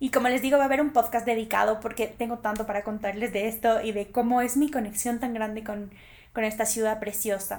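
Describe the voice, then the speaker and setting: A woman's fairly high-pitched voice, animated and at a fairly quick pace. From Ecuador. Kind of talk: personal monologue.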